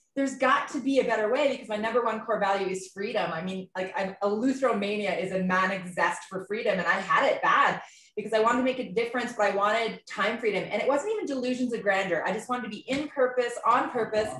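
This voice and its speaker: Over noticeable background noise, a woman talks very fast in a fairly high voice. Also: ordinary pitch variation, hardly any pauses. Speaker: entrepreneur. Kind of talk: testimony.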